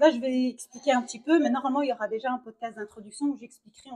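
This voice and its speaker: The voice has a dark, mellow tone and ordinary pitch variation. It moves at a very fast pace. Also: woman. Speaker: podcast host, primary school teacher. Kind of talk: casual chat. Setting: restaurant during a brunch. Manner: hesitant, many repetitions.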